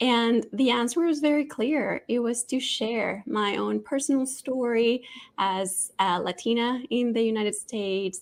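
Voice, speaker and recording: A woman with a Spanish accent, fairly high pitch and ordinary pitch variation, on a very clean recording with a silent background. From Colombia, Bogota. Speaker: nonprofit marketing executive and author. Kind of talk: interview.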